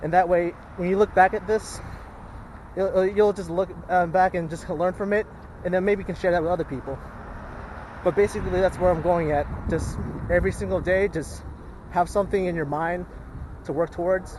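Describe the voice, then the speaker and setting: A man with a high-pitched voice talks at a fairly quick pace, using fairly even intonation. Long, frequent pauses break up his speech over noticeable background noise. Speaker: vlogger. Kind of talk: casual vlog monologue. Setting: outdoors in a park. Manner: halting, with repetitions and fillers.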